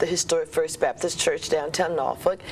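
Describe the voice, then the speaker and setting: Fairly even intonation from a woman over noticeable background noise. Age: 60s. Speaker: breast cancer survivor. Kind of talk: TV talk show interview.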